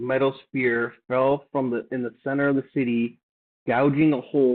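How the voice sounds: A natural reading voice with fairly even intonation and a quiet background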